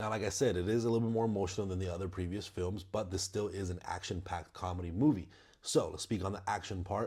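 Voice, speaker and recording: The man's fairly low voice is somewhat breathy, with a dark, mellow tone and fairly even intonation. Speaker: movie reviewer channel host. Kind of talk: casual movie review monologue. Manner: halting, many fillers and repetitions.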